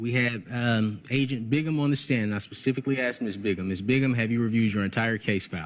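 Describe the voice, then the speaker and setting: The delivery is very fast, with hardly any pauses. Pitch varies in an ordinary way. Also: man. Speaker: defense attorney. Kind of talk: courtroom argument. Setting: courtroom.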